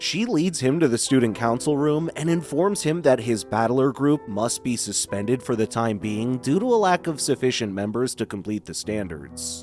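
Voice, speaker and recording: Over music in the background, a man with a medium-pitched voice talks at a moderate pace with hardly any pauses and very wide pitch swings. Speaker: voice actor. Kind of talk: anime recap narration.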